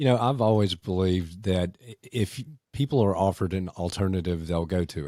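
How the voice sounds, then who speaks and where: In a Southern US accent, a man speaks fairly quickly with a very deep, low pitch and a dark, mellow tone, using ordinary pitch variation while his loudness swings widely. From US South. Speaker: podcast host, former mayor. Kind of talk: interview conversation.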